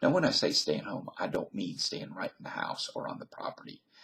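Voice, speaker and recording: A Southern US accent colors this man's speech. He is the one talking. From US South. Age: 50s. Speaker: vlogger. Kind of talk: casual monologue.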